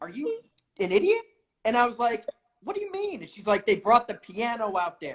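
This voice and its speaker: Lively in intonation, the speaker talks at a fairly quick pace with an American accent. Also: woman. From upstate New York. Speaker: podcast host. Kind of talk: casual interview chat.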